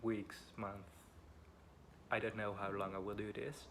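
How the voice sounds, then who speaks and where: A man speaks with a Dutch accent. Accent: Dutch accent, weird pronunciation. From Netherlands. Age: 20s. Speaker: vlogger. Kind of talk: personal vlog, life story. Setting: at home. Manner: halting, many fillers.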